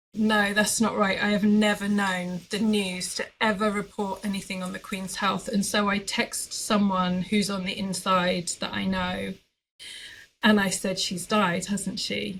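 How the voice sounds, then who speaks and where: Flat and monotone, a woman speaks at a medium pitch and a fairly slow pace. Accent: British. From Britain. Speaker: quilting artist. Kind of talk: podcast interview.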